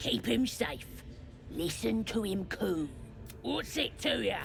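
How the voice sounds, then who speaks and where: A put-on character voice at a middle pitch, fairly slow, over clear background noise. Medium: video game. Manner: gruff, curt.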